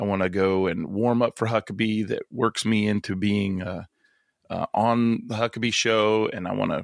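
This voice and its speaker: A man talks in an ordinary speaking voice with fairly even intonation, in a dry, close sound with no echo. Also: very clean recording, silent background. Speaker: comedian and pastor. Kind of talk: casual chat. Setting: podcast interview.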